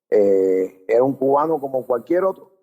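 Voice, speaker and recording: A man speaks in a dark, mellow tone. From Cuba. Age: 50s. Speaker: teacher and activist. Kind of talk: interview. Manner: halting.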